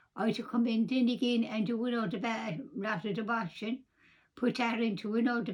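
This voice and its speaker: At a moderate pace, a woman speaks in a fairly high pitch, somewhat breathy. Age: 80s+. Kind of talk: personal storytelling.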